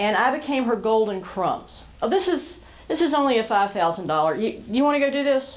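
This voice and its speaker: With an American accent, a woman speaks at a moderate pace and high pitch, and room echo can be heard. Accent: Southern, held back during the day. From US South. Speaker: storyteller and business speaker. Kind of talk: talk to a small business audience. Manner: conversational.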